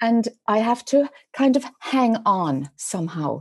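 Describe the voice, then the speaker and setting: A woman's dark, mellow voice in an Irish accent, fairly high in pitch with lively intonation, against a quiet background. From Ireland, rural dairy farm. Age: 50s. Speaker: spiritual teacher. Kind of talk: podcast interview.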